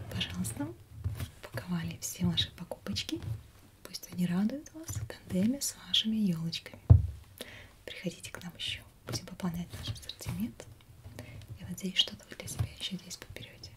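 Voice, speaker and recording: Soft-spoken and at a fairly quick pace, a woman talks over noticeable background noise. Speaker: shop seller role-play. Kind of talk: soft role-play shop talk. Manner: soft, quiet ASMR shopkeeper voice. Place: home room. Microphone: webcam.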